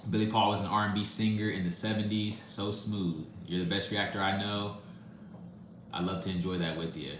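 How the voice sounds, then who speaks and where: Amid audible room echo and noticeable background noise, a man speaks at a fairly quick pace with a fairly low pitch and fairly even intonation. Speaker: music reaction YouTuber. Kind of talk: live stream chat, reading comments. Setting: live stream. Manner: fast.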